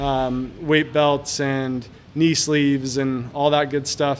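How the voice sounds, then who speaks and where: A man's fairly high voice at a fairly slow pace, monotone and flat, over noticeable background noise. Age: 40s. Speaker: gym owner and podcast host. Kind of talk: casual solo podcast monologue. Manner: hesitant, many fillers and repeated words.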